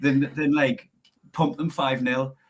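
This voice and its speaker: A man's fairly high, somewhat breathy voice with a Geordie accent, at a moderate pace. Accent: Geordie accent, clearly noticeable. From northern England, Newcastle area. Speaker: comedian. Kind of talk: casual chat.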